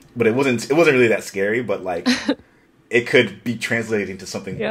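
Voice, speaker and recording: A man's voice with big swings in loudness. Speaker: podcast host. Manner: casual, enthusiastic.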